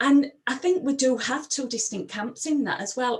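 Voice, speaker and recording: Spoken at a moderate pace in a Sheffield accent, the voice has ordinary pitch variation over noticeable background noise. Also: woman. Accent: broad Sheffield Yorkshire. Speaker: empowerment coach. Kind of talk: presentation.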